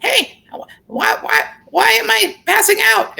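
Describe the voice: This is a put-on character voice, squeaky and fairly high in pitch. It moves at a fairly slow pace.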